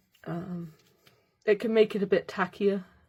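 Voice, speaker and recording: A somewhat breathy woman's voice with fairly even intonation, in a very clean recording with a silent background. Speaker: bookbinding crafter. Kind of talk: tutorial. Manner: hesitant, many fillers.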